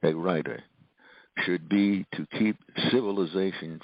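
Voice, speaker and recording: A very deep, low-pitched man's voice, fairly slow, with ordinary pitch variation. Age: 80s+. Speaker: author and professor. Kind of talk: interview.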